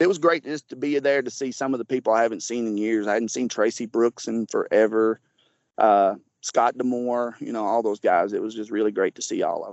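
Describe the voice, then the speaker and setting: A man speaks at a fairly quick pace in a medium pitch, with ordinary pitch variation and big swings in loudness. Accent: Southern US. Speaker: former pro wrestler. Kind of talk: interview.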